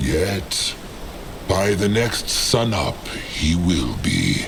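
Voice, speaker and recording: A man's put-on character voice, very deep and low in pitch, at a very slow pace over loud background noise. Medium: machinima. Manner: speaks of himself in third person.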